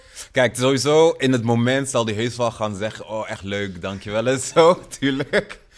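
A man's normal speaking voice at medium pitch, with ordinary pitch variation, a moderate pace and hardly any pauses. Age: 30s. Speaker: rapper and music producer. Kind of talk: recorded spoken message; casual interview.

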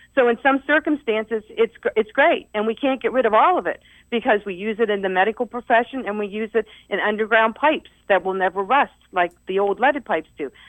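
A woman with an American accent has an ordinary speaking voice at a fairly high pitch. She talks at a fairly quick pace with lively intonation. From Ohio Valley, eastern Ohio. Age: 60s. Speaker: retired research chemist, environmental activist. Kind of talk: radio interview. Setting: radio studio.

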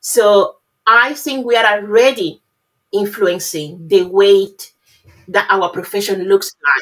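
In a Spanish accent, the voice moves at a very slow pace with ordinary pitch variation. Long pauses come often. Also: woman, medium pitch for a woman. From Cuba. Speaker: pharmacist. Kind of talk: interview.

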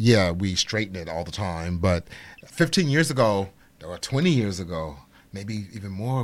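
A man's plain, everyday voice, fairly low in pitch, with lively intonation at a moderate pace. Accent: American. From Chicago, Illinois. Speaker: celebrity hairstylist. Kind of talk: casual chat.

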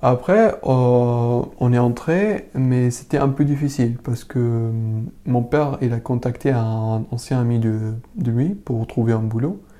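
A man's very slow voice with a dark, mellow tone, medium pitch and ordinary pitch variation. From Syria, Damascus. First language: Arabic (speaking French). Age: 20s. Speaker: refugee interviewee. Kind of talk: personal testimony interview. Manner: halting, many hesitations and repetitions.

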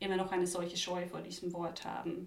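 A woman speaks over noticeable background noise. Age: 20s. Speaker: student and LGBTQ youth activist. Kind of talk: casual interview conversation.

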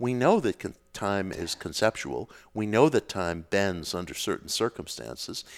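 A man with an American accent and a normal speaking voice, fairly low-pitched, lively in intonation and moderate in pace, on a very clean recording with a silent background and a dry, close sound with no echo. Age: 50s. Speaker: author on occult and spirituality. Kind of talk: casual interview conversation.

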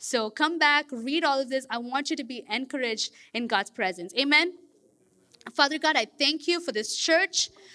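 In a Kerala accent, a woman projects a raised voice at a high pitch and moderate pace, bright and sharp in tone with lively intonation, in a very clean recording with a silent background. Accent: Indian (Kerala) English. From India. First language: Malayalam. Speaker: guest preacher. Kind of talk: sermon. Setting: church. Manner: halting, many fillers.

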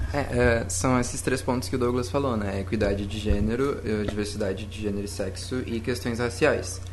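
A man speaks at a moderate pace with a fairly low pitch and ordinary pitch variation. Audible room echo and noticeable background noise are present. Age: 20s. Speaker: scout volunteer. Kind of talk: panel discussion. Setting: studio.

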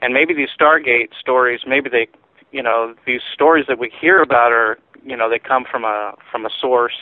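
A man uses an ordinary speaking voice, medium in pitch, moving at a moderate pace with fairly even intonation. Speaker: UFO researcher. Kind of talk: radio interview.

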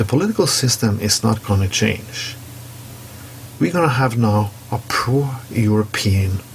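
Speaking at a fairly slow pace with long, frequent pauses, a man with a Norwegian accent keeps a medium pitch and very even loudness over noticeable background noise. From Norway. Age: 40s. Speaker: commentary segment contributor. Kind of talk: opinion monologue.

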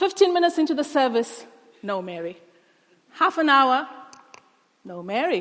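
Speaking at a moderate pace with long, frequent pauses, a woman uses a high pitch, very wide pitch swings and big swings in loudness. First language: not English. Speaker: guest preacher. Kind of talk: sermon. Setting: church.

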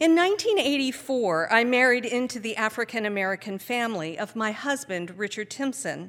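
A woman with an unremarkable speaking voice and fairly high pitch talks at a moderate pace, lively in intonation and with hardly any pauses. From Pennsylvania and Virginia. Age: 50s. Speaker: Sunday school director. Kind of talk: prepared talk at a service.

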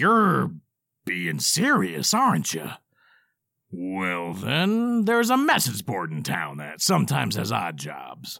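A man bellows in a gruff, put-on character voice at a fairly slow pace. The recording is very clean, with a silent background. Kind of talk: comic audio drama acting. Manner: gruff, bellowing, mocking.

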